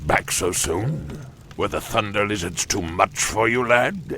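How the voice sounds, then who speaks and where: Over clear background noise, a man uses a put-on character voice at a fairly low pitch and a fairly slow pace. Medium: video game.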